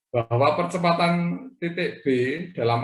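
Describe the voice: With a fairly bright tone, the voice moves at a fairly slow pace amid audible room echo. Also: man.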